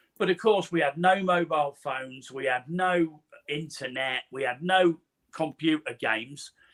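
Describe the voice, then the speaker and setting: Dry and close with no echo, a man's high-pitched voice carries an East Midlands accent. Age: 60s. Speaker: podcast host, guest on show. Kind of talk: casual chat.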